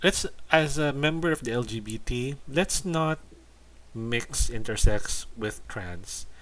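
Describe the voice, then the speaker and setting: A man with a Filipino accent, fairly high in pitch, at a very slow pace, with lively intonation and big swings in loudness, on a very clean recording with a silent background. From Philippines. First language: Tagalog. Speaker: YouTuber commentator. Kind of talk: casual commentary video. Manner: halting, repeats words.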